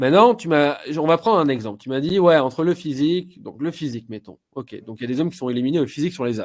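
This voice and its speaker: Talking at a very fast pace with hardly any pauses, a man uses a fairly high pitch and big swings in loudness. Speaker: love coach. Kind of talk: advice talk show. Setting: online live show.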